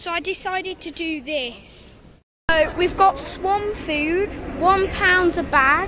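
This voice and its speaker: A woman's dry voice with no echo, against noticeable background noise. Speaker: vlogger. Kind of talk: casual vlog chat. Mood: cheerful, enthusiastic. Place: waterside. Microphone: phone near.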